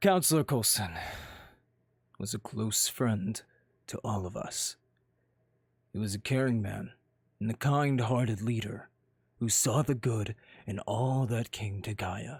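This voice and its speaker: A man puts on a character voice at a medium pitch and a fairly slow pace. Long pauses break up his speech often. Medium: machinima. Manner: smooth, mock-sorrowful.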